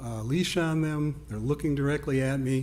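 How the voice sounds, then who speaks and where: Speaking at a fairly slow pace, a man has a dark, mellow tone and fairly even intonation. Audible room echo surrounds his voice. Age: 60s. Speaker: resident giving public comment. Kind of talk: public comment at village board meeting.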